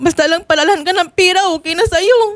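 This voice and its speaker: A woman speaks at a fairly quick pace. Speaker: respondent in a marital complaint. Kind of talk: testimony in a confrontation.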